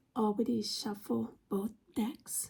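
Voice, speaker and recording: Very slow and somewhat breathy, the voice has a dark, mellow tone and ordinary pitch variation. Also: woman. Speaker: tarot reader. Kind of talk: tarot reading.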